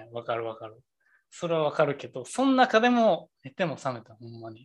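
A man talks at a fairly quick pace in a Kansai accent. His pitch swings very widely. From Kansai, Japan. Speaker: podcast co-host. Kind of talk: casual chat. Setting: video call.

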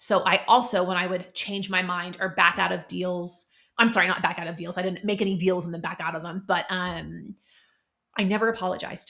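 The voice has a bright, sharp tone and an American accent. Its intonation stays flat and monotone. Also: woman, medium pitch for a woman. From Oklahoma, US. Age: 40s. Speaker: podcast host, Enneagram coach. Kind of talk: solo casual podcast monologue. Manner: casual, candid, uses many fillers.

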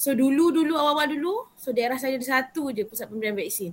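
Here is a woman with a plain, everyday voice. She keeps a moderate pace, her pitch shifting in an ordinary way. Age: young. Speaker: youth council member and vaccine centre assistant. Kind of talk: casual interview.

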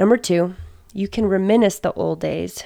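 A woman talks at a moderate pace. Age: 20s. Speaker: podcaster / blogger. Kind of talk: scripted narration.

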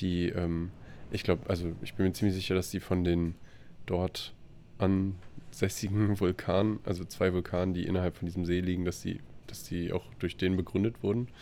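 Speaking quietly at a moderate pace, a man has a very deep, low pitch and a dark, mellow tone. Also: ordinary pitch variation. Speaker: podcast co-host, traveler. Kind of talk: casual chat. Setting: video call from a hostel room.

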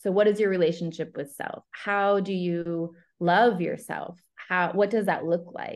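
This is a plain, everyday voice with an American accent. The pace is fairly slow. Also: woman. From upstate New York, US. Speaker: love coach. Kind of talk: casual interview conversation.

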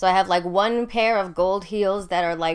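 In an ordinary speaking voice, a woman talks at a moderate pace with fairly even intonation on a very clean recording with a silent background. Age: 30s. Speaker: podcast host and military veteran. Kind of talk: casual solo monologue. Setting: home recording in bedroom.

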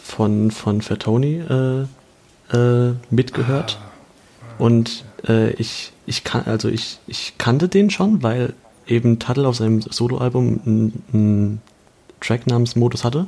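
The pace is very slow from this man. His pitch is medium, with ordinary variation. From Germany, Kaiserslautern (Palatinate). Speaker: podcast co-host, student. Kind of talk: casual chat. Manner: halting.

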